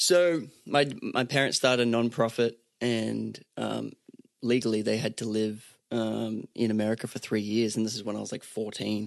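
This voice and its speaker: In an Australian accent, a man speaks with fairly even intonation. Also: medium pitch for a man, moderate pace. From Australia, Sunshine Coast. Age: 30s. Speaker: singer-songwriter. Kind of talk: casual chat.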